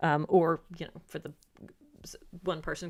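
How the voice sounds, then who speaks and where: The delivery is monotone and flat in intonation, with audible vocal fry. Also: woman. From UK. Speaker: YouTuber. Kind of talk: livestream Q&A chat. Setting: livestream. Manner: hesitant, many fillers.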